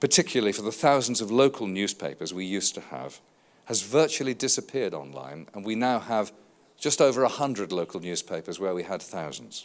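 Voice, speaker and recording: Speaking with a British accent at a fairly quick pace, a man uses a fairly low pitch with very wide pitch swings, big swings in loudness, and vocal fry. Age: 60s. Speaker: advertising industry consultant. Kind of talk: conference keynote speech.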